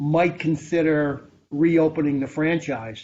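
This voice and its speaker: Speaking fairly slowly, a man uses a plain, everyday voice at a fairly high pitch. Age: 60s. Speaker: former computer store manager. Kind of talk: interview. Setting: video call.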